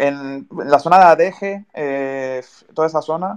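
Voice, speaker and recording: Ordinary pitch variation runs through what this man says. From Canary Islands (Tenerife). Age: 20s. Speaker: podcast host. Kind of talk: casual interview.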